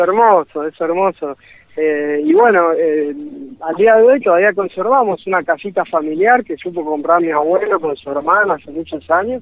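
Pitched high, a man speaks with ordinary variation at a moderate pace. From Argentina. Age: 40s. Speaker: mountaineer. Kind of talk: interview.

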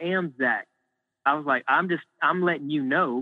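Delivered at a moderate pace with ordinary pitch variation, an unremarkable speaking voice carries an American accent. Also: man. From US, mostly North Carolina and Michigan. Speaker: actor. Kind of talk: casual chat. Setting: phone call.

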